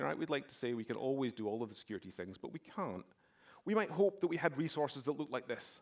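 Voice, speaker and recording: A man talks in a Scottish accent. His pitch swings very widely. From Scotland, near Glasgow. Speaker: security expert, conference speaker. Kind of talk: conference talk. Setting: stage with audience.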